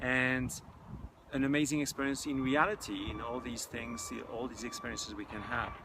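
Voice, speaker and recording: Noticeable background noise and audible room echo fill this recording. A man talks at a moderate pace with a medium pitch and ordinary pitch variation. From France (Paris). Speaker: technology entrepreneur and spiritual teacher. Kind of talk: interview. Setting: outdoors. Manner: halting.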